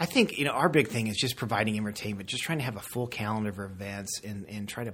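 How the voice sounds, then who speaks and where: A man talks at a very fast pace in an American accent. His pitch is fairly low. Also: very clean recording, silent background. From Colorado, US. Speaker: golf club head professional. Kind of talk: casual interview.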